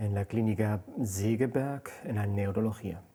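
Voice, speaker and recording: At a fairly slow pace, a man speaks with a dark, mellow tone. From Germany, born in Spain. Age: 50s. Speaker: hospital department head. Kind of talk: documentary interview.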